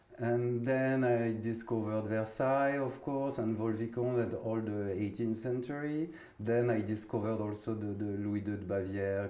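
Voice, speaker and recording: The speaker is a man with a French accent. Room echo is audible. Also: hardly any pauses. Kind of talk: interview. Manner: halting.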